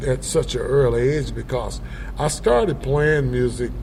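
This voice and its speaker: A very slow voice in a South Carolina accent, with audible room echo and noticeable background noise. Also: man. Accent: Southern US, South Carolina. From US South, Upstate South Carolina. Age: 70s. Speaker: blues musician. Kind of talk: interview. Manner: halting, many fillers.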